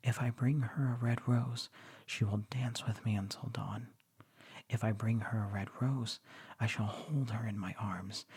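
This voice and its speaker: Soft-spoken and somewhat breathy, a man talks in a relaxed tone at a fairly slow pace, his medium pitch following a fairly even intonation. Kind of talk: literary story reading. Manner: soft-spoken, relaxed.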